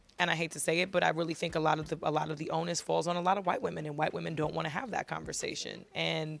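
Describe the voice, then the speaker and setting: A woman speaks with an American accent at a very fast pace. She leaves hardly any pauses. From New York City. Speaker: singer. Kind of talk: interview. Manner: halting, many repeated words.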